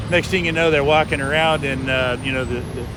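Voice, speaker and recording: Very rapid delivery is heard with clear room reverberation and obvious background noise. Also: man. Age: 60s. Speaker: walking-tour vlogger. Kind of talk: casual street conversation. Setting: outdoors on a city street.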